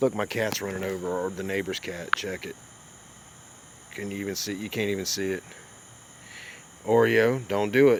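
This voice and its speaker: With a Southern US accent, a man speaks at a moderate pace in a fairly low voice, using ordinary pitch variation and long, frequent pauses. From US South. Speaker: YouTuber live streamer. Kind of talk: casual live stream chat.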